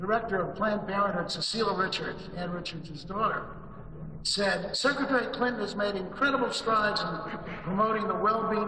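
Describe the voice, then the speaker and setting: A man's raised, projected voice at a fairly quick pace, over noticeable background noise. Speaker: conference host introducing keynote. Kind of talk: formal speech introduction. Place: hall.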